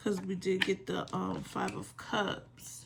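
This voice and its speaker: Over noticeable background noise, a woman with a medium-pitched voice speaks at a very slow pace. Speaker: tarot reader. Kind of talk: tarot reading. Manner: relaxed.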